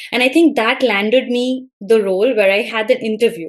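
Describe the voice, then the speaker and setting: With an Indian accent, a woman with a fairly high pitch talks at a moderate pace. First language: Bengali. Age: 30s. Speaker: college English lecturer. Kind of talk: interview.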